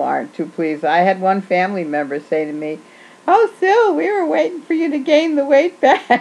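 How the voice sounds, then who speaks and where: Noticeable background noise beneath very wide pitch swings. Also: woman. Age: 60s. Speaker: video blogger on weight loss. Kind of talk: casual video reply. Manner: hesitant, with fillers.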